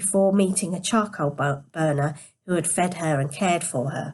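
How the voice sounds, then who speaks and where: Her voice is somewhat breathy and fairly low in pitch for a woman. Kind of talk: read story. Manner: quiet.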